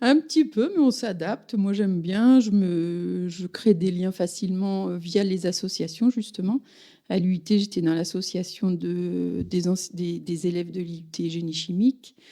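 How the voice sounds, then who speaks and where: A dark, mellow tone moves at a fairly slow pace, with ordinary pitch variation. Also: woman, medium pitch for a woman. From Paris region (Yvelines). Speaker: village mayor. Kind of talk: interview. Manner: hesitant, many fillers.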